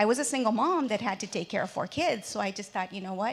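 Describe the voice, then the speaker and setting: A woman with a Spanish accent speaks at a fairly high pitch. The recording is very clean, with a silent background. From Mexico, raised in the US from age three. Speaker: businesswoman, panelist. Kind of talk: panel discussion. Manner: halting, many fillers.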